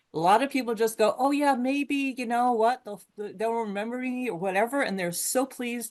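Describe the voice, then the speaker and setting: In a plain, everyday voice, a woman talks at a moderate pace with a fairly high pitch. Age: 60s. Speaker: webinar attendee. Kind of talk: audience comment.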